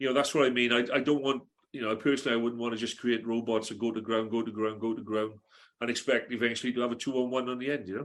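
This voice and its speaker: In a South Wales accent, a man speaks very fast at a medium pitch with monotone, flat intonation. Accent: Welsh (south Wales). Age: 60s. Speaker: retired rugby coach. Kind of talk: casual podcast interview. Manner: hesitant, many fillers.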